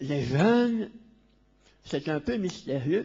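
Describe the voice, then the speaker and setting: Using a high pitch and lively intonation, a man speaks at a very slow pace. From Belgium. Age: 60s. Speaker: Jesuit priest, conference speaker. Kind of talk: lecture.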